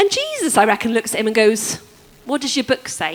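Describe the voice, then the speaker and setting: Fairly quick speech with lively intonation over noticeable background noise. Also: woman. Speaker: preacher. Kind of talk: sermon. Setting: church service with congregation.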